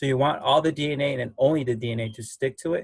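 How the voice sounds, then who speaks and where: Talking at a very fast pace, a man has a somewhat breathy voice at medium pitch with fairly even intonation. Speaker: biology lab instructor. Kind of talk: online lab class explanation. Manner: mumbling, halting.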